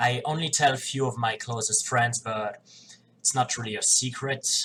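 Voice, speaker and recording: With a non-native accent, a man speaks at a medium pitch. His intonation is fairly even and his pace fairly slow. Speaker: professional wrestler. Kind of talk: casual talk to camera.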